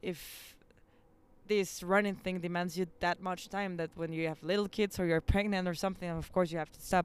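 Speaking fairly quickly in a monotone, flat way, this woman's voice sits at a medium pitch. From Mexico, Nuevo León. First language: Spanish. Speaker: amateur athlete, runner. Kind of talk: casual interview. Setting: rooftop outdoors.

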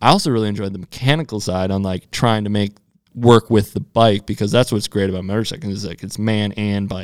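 A man with an ordinary speaking voice talks at a fairly quick pace, fairly low in pitch with fairly even intonation, in a dry, close sound with no echo. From US Midwest. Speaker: professional off-road motorcycle racer. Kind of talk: casual interview chat. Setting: studio.

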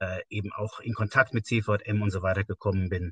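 An unremarkable speaking voice uses fairly even intonation against a quiet background, with a dry, close sound and no echo. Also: man. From Westerwald, Rhineland-Palatinate, western Germany. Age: 50s. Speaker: church organisation leader. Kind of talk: casual interview.

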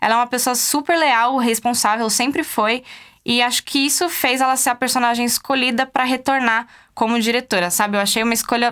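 In a very clean recording with a silent background, a woman speaks fairly quickly in a high, bright, sharp tone, with ordinary pitch variation and very even loudness. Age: 20s. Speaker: podcast host. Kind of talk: casual commentary monologue. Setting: studio.

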